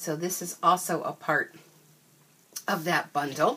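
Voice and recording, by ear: Slow and low-pitched, a woman's voice carries a fairly bright tone and a slightly husky edge.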